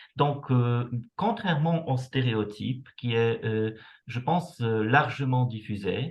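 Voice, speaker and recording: A man with medium pitch speaks at a very slow pace. His voice is somewhat breathy, with ordinary pitch variation. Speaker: university researcher. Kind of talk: lecture. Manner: hesitant, many fillers.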